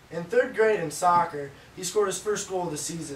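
Audible room echo and light background noise surround the speaker. He is a man talking at a very fast pace. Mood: playful, laughing. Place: home room. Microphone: camera far.

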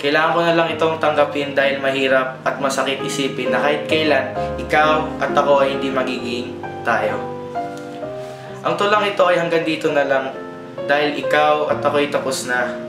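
Over clear background music, a man talks at a fairly quick pace. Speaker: student poet. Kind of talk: spoken word poetry. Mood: melancholic, heartfelt. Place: home room. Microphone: camera far.

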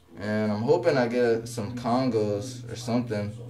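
A man at a moderate pace, with music in the background. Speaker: vlogger. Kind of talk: casual talk to camera. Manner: monotonous. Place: home room. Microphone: phone near.

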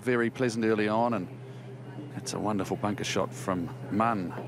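A man speaks at a medium pitch in a normal speaking voice, his intonation fairly even. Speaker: golf commentator. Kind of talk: live golf commentary over highlights. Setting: voiceover on highlight reel. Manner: relaxed, conversational, appreciative.

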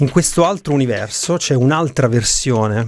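Faint music plays in the background as a man speaks at a moderate pace. His pitch variation is ordinary, and the sound is dry with no echo. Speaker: podcast host, film reviewer. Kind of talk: commentary. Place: home room. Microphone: studio mic.

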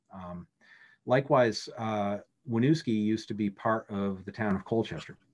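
An unremarkable speaking voice with an American accent moves at a moderate pace with ordinary pitch variation over a quiet background. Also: man, fairly low pitch for a man. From Vermont, US (Richmond); Vermont. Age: 50s. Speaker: government lawyer. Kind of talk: lecture. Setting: video call. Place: office. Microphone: video call.

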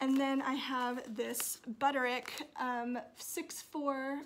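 A woman speaks in a high pitch with a bright, sharp tone. Her intonation stays fairly even. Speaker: sewing vlogger. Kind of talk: casual vlog chat. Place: home room. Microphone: phone near.

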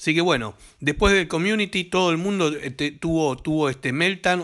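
In a Rioplatense accent, a man talks with an animated tone at a fairly quick pace over a quiet background. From Argentina. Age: 60s. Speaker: gaming YouTuber; gaming video creator. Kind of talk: comedic rant to camera; casual vlog chat, mocking commentary. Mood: joking, teasing.

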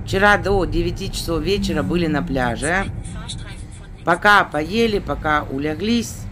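Speech comes at a very slow pace over light background noise. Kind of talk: casual vlog chat. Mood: relaxed, chatty. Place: car. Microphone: phone near.

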